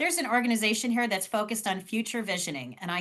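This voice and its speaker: In a Cleveland accent, a woman speaks at a fairly high pitch. Her tone is animated, bright and sharp. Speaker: fundraising trainer. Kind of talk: online training session.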